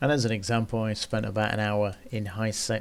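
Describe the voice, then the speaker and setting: A soft-spoken man's fairly low, monotone voice with flat intonation, at a moderate pace, on a very clean recording with a silent background. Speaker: gaming YouTuber. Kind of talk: gaming commentary.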